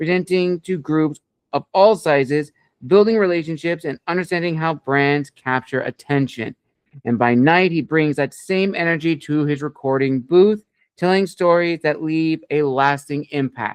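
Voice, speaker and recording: A man talks at a moderate pace with a fairly high pitch, in an ordinary speaking voice. The recording is dry and close, without echo. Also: ordinary pitch variation. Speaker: podcast interview host. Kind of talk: interview host talk.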